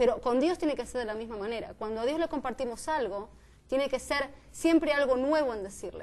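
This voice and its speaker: In a high pitch with ordinary pitch variation, a woman talks at a fairly quick pace. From Argentina, Buenos Aires. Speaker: student teacher. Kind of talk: panel discussion. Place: studio.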